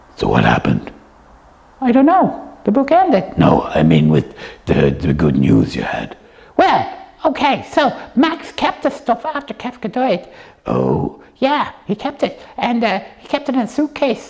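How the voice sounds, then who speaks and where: A female-sounding voice does a cartoonish character in a high pitch with a playful tone. The pace is moderate. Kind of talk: puppet show dialogue for kids. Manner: playful, chatty.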